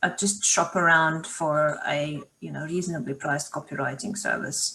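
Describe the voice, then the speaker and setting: In a non-native accent, a woman speaks at a moderate pace with a fairly low pitch and a bright, sharp tone. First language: not English. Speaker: marketing consultant. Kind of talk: live Q&A session. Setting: video call.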